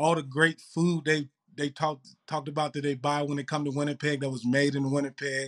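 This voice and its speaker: Speaking in a Mississippi accent, a man keeps a monotone, flat intonation at a fairly high pitch and a fairly quick pace. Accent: Southern US (Mississippi). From Mississippi, US South. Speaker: pro football player. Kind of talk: casual interview.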